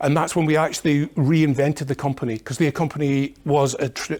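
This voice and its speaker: A man with a Scottish accent, fairly high-pitched, at a fairly quick pace, on a very clean recording with a silent background. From Scotland. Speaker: industry technology manager. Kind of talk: conference presentation. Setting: conference seminar with audience. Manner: hesitant, many fillers.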